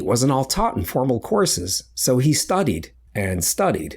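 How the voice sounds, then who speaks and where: The man's voice has a dark, mellow tone with vocal fry, captured on a very clean recording against a silent background. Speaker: science reporter. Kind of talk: podcast narration.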